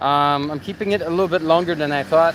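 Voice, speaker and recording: Ordinary pitch variation with a Canadian accent. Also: man. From Quebec. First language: French. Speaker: YouTuber. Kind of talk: livestream chat. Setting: livestream, outdoors at night on bike.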